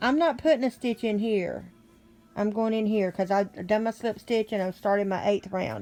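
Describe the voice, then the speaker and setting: Over music in the background, a woman speaks in a fairly high pitch with fairly even intonation. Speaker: crochet teacher. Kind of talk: tutorial.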